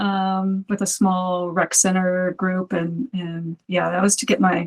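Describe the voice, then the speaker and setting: A somewhat breathy woman's voice at a fairly slow pace. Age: 50s. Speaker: movement practitioner, community member. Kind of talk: casual interview.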